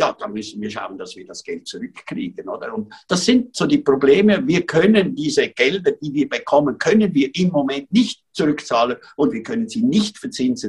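At a moderate pace and with hardly any pauses, a man speaks at a high pitch, his pitch swinging very widely and his loudness rising and falling sharply. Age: 70s. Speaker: photographer and aid project founder. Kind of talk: interview. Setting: remote call from sickbed.

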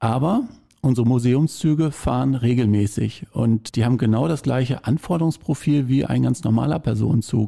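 A man speaks in a dark, mellow tone. His pitch sits in the middle range, with ordinary variation. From Lippe, eastern Westphalia, Germany. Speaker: railway association volunteer. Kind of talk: casual interview.

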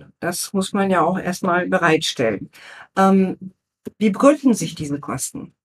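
Speaking at a fairly slow pace, a woman with a medium pitch sounds somewhat breathy, with lively intonation. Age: 50s. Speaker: guest interviewer, former corporate PR manager. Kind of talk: interview questions. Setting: studio, seated at a table together.

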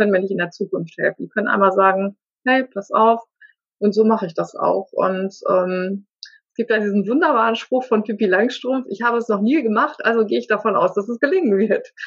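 At a fairly quick pace, the speaker talks in a somewhat breathy voice. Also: woman, fairly high pitch for a woman, ordinary pitch variation. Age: 50s. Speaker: life coach. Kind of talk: interview. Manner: halting.

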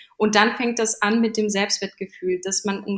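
At a moderate pace, a woman of medium pitch speaks with monotone, flat intonation. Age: 30s. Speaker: fashion stylist and image coach. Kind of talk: casual interview.

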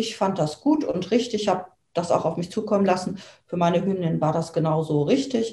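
Somewhat breathy and dark, mellow in tone, a woman's voice moves at a fairly quick pace. Her pitch variation is ordinary. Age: 50s. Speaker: dog owner. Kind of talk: interview. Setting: in person, same room. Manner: hesitant, many fillers.

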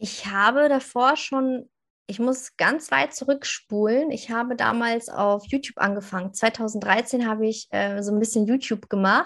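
Fairly slowly, a woman speaks with a fairly high pitch and ordinary pitch variation. The background is quiet. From northern Germany, near Hanover. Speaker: social media coach and mom blogger. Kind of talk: podcast interview. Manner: animated.

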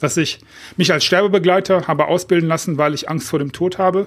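On a very clean recording with a silent background, the voice moves at a fairly quick pace with fairly even intonation. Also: man. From Germany, Düsseldorf. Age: 50s. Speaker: podcast host, author coach. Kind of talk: solo podcast monologue.

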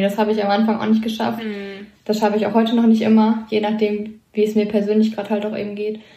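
Audible room echo surrounds a woman speaking at a very fast pace, somewhat breathy and dark, mellow in tone, with fairly high pitch. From Lower Rhine, Germany. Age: 20s. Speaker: hospital medical technician. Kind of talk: casual interview.

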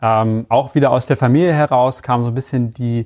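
This man has a medium pitch and a dark, mellow tone. He talks at a moderate pace with ordinary pitch variation. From Hamburg, northern Germany. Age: 30s. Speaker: e-commerce product manager. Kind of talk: interview.

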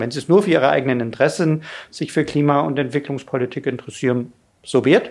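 A man with a plain, everyday voice talks at a fairly quick pace, pitched fairly high with ordinary pitch variation. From Lower Bavaria (Bavarian Forest), born in Ulm. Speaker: political science professor. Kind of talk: interview. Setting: studio, in person.

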